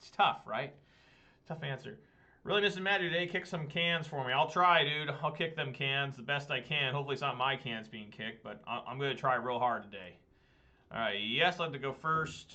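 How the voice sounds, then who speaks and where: Speaking at a fairly quick pace, a man with a fairly high pitch uses ordinary pitch variation and big swings in loudness. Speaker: gaming streamer. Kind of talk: gameplay commentary. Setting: live stream. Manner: fast; animated.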